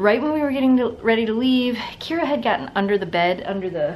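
A woman talks at a fairly quick pace. There is light background noise behind her. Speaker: pet vlogger. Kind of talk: casual vlog chat. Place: home room. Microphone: phone near.

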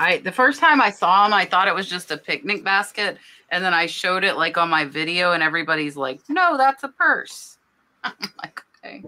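Bright and sharp in tone, a woman speaks at a moderate pace with lively intonation. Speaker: nurse and reseller, co-host; online reseller hosting a live sale. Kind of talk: casual chat. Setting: live stream, online. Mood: cheerful, enthusiastic. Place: home room. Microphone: webcam.

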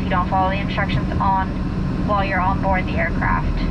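Someone speaks at a fairly quick pace over loud background noise. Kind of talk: cabin announcement. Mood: firm, warning. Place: plane.

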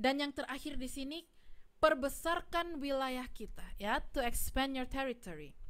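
A woman with a high pitch and ordinary pitch variation talks at a fairly slow pace. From Malaysia, Ipoh; Malaysia. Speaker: preacher. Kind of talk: sermon. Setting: livestreamed church service. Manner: halting, many fillers. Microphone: studio mic.

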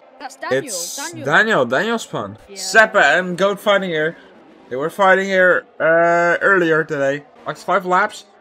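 With noticeable background noise behind him, a man speaks at a high pitch with ordinary pitch variation. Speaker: race commentator. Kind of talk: live race commentary. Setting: online sim racing stream. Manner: repeats phrases and corrects himself mid-call as the action unfolds.

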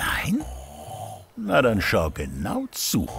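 A man speaks at a very slow pace. Noticeable background noise runs underneath. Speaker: narrator. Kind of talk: children's fairy tale narration. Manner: child-friendly storytelling.

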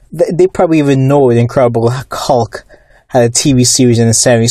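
This man has a normal speaking voice, a medium pitch and fairly even intonation. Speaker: YouTube commentator on comics and movies. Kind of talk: angry rant about fake comic fans and studio politics. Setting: YouTube video monologue. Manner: indignant, scornful, worked up, with fillers and repeated words.

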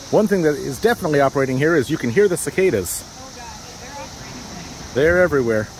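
Over light background noise, the speech comes at a very fast pace in a dry sound with no echo. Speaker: tour vlogger. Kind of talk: casual vlog chat. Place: street. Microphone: phone near.

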